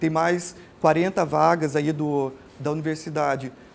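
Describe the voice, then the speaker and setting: This man's voice sits at a fairly high pitch. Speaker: family physician and lecturer. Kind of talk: lecture. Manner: halting, many filler hesitations.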